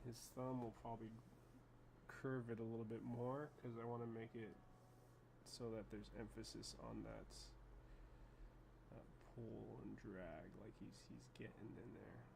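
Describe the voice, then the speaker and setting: A man mumbles at a fairly slow pace with long, frequent pauses, and the room echo is audible. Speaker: animator. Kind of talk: tutorial. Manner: mumbling; casual.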